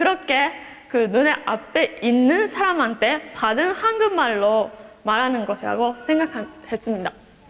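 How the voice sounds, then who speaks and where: Very slowly and at a very even loudness, a woman with a high voice and a Japanese accent speaks with very wide pitch swings. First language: Japanese (speaking Korean). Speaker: exchange student. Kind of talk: speech. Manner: halting.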